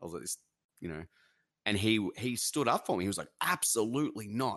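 A man with an Australian accent, quiet background. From Australia, NSW/Victoria border. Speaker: streamer and musician. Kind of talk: casual chat.

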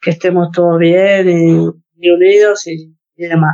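Very slowly, a woman speaks at a fairly low pitch with monotone, flat intonation. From Argentina. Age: 30s. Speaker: para-badminton athlete. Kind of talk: interview. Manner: halting, many fillers and repetitions.

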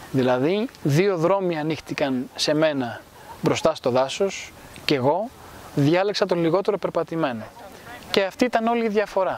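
Over noticeable background noise, a high-pitched man talks at a moderate pace with lively intonation and very even loudness. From Greece, raised in Rome from age 10 to 20. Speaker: cultural institute founder. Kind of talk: interview. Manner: formal.

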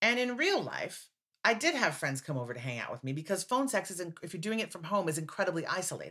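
A woman at a medium pitch with an American accent, very wide pitch swings, vocal fry and a very fast pace. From United States. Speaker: playwright and performer. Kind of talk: casual interview chat.

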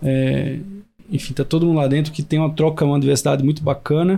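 With a dark, mellow tone, a man speaks at a fairly high pitch using fairly even intonation. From Brazil, Recife (Pernambuco). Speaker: agtech innovation hub CEO. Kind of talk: podcast interview. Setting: in-person studio recording.

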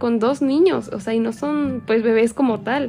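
Her intonation fairly even and her pitch fairly high, a woman talks in a normal speaking voice. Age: 20s. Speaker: young mother sharing her experience. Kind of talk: personal testimony.

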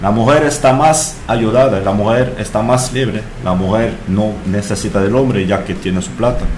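With a French accent and a medium pitch, a man speaks at a moderate pace with hardly any pauses, amid noticeable background noise and audible room echo. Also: ordinary pitch variation. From France. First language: French (speaking Spanish). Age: 30s. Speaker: bartender. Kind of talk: casual chat.

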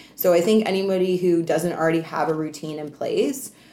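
This woman has a Canadian accent and an ordinary speaking voice. She talks at a fairly quick pace with a fairly low pitch and ordinary pitch variation. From Canada. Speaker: entrepreneur and anti-trafficking advocate. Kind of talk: casual interview.

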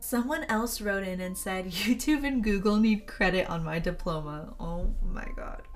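A woman with a fairly high pitch for a woman talks at a moderate pace. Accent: American. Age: 20s. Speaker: podcast host, college student. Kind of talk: casual chat.

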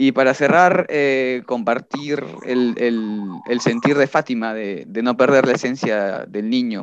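A normal speaking voice at a fairly slow pace, with ordinary pitch variation. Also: man. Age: 20s. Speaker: musician, band vocalist. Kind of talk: casual chat.

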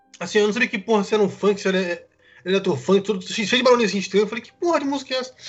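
With noticeable background noise, a man speaks at a very fast pace in a high pitch. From Brasília, Brazil. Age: 20s. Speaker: Twitch streamer. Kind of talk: casual chat.

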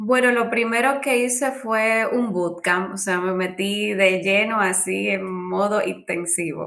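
At a very slow pace, a woman talks with hardly any pauses. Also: medium pitch for a woman, ordinary pitch variation. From Dominican Republic. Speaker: UX designer, former architect. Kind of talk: interview.

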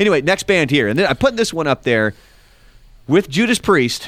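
On a very clean recording with a silent background, a man with vocal fry speaks at a moderate pace, his pitch swinging very widely. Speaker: podcast co-host and musician. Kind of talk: casual chat. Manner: sighing, opinionated, conversational.

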